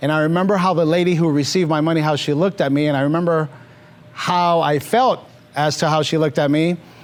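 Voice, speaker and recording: A man with a Mexican accent speaks at a very fast pace. His pitch is fairly high and his intonation fairly even. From Mexico, moved to Los Angeles area at five. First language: Spanish. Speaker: financial services business leader. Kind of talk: interview on stage.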